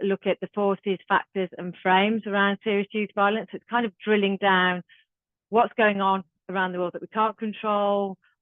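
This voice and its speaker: A woman speaks with a Birmingham accent. Her medium-pitched delivery is monotone and flat. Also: moderate pace. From Birmingham, England. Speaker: youth violence trainer. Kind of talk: online training workshop. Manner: casual.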